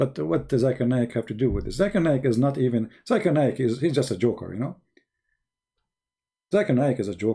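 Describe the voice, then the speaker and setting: Somewhat breathy and dark, mellow in tone, a man at a medium pitch speaks at a fairly quick pace with lively intonation and long, frequent pauses, on a very clean recording with a silent background. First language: not English. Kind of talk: live stream monologue.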